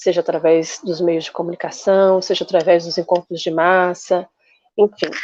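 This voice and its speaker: In a dry, close recording with no echo, a woman speaks at a fairly low pitch with monotone, flat intonation. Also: moderate pace. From Brazil, Rio de Janeiro. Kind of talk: interview.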